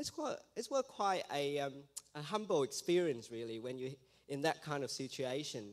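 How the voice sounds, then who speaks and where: A man with an Australian accent speaks at a moderate pace with lively intonation. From Vietnam. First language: Vietnamese. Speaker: missionary. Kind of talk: testimony. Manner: halting.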